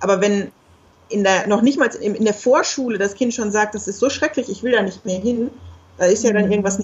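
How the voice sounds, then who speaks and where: A woman with a fairly high, somewhat breathy voice speaks fairly quickly, with ordinary pitch variation. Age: 30s. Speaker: geographer and single mother. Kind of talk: interview.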